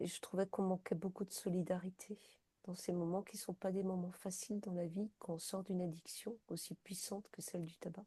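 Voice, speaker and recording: A woman talks at a moderate pace in a dark, mellow, somewhat breathy tone. Her intonation is flat and monotone. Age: 60s. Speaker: peer-support counselor for quitting smoking. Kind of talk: interview. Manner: hesitant, many fillers.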